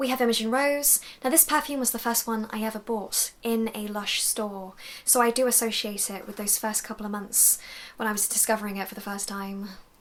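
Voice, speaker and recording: A woman with a British accent at a fairly quick pace, over noticeable background noise. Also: fairly high pitch for a woman. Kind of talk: casual talk to camera. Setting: home recording.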